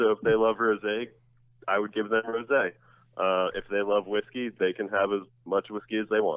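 This man speaks in an American accent at a moderate pace. His pitch is fairly low and his intonation is monotone and flat. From New Jersey. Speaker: drinks writer and author. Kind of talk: interview. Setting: phone call.

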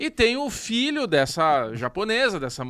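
On a very clean recording with a silent background, a man's bright, sharp tone moves through very wide pitch swings. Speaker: podcast co-host. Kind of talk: casual chat.

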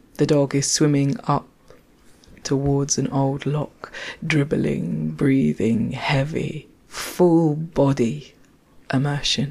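The speech moves at a very slow pace. Noticeable background noise sits behind it. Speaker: theatre maker and podcast storyteller. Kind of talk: personal storytelling walk with field recording.

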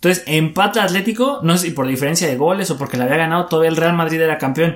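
At a fairly quick pace, a man with a fairly high pitch talks in an ordinary speaking voice. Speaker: sports podcast co-host. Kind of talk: casual chat.

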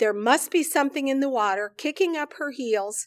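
In a very clean recording, dry and close with no echo and a silent background, a high-pitched woman speaks with an American accent and lively intonation. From central Illinois. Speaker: church receptionist. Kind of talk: casual interview.

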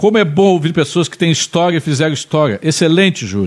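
In a normal speaking voice, a man talks at a fairly quick pace with a fairly high pitch and lively intonation. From Pelotas, Rio Grande do Sul, Brazil. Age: 50s. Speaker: talk show host. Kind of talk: casual interview chat.

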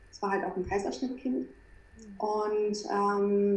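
A woman of medium pitch speaks with audible room echo. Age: 30s. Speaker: acne and skin health coach. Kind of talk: interview.

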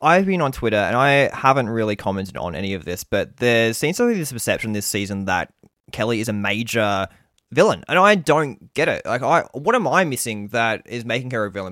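This man talks at a very fast pace with an Australian accent. His intonation is lively. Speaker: survivor podcaster. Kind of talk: casual chat.

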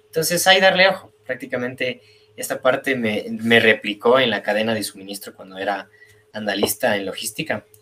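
In an ordinary speaking voice at medium pitch, a man talks at a moderate pace with lively intonation and big swings in loudness. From Ecuador, Quito. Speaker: industrial engineer, data analyst. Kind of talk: casual interview.

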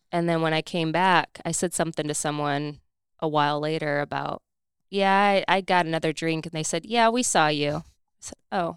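In an American accent, a woman with an unremarkable speaking voice and fairly low pitch speaks at a moderate pace with ordinary pitch variation, on a very clean recording with a silent background and a dry, close sound with no echo. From Indiana. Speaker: fitness coach. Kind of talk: casual chat.

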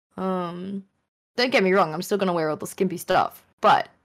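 Fairly quick speech from a woman at a medium pitch. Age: 20s. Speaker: streamer and game design student. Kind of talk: casual chat.

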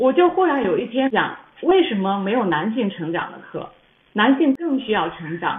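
Her high pitch swings very widely as the woman speaks at a moderate pace. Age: 40s. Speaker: YouTuber and former pastry chef. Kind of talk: casual chat.

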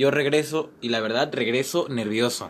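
This is a man with an unremarkable speaking voice. His pitch is medium, with ordinary variation. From Mexico City. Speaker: actor and playwright. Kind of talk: casual chat.

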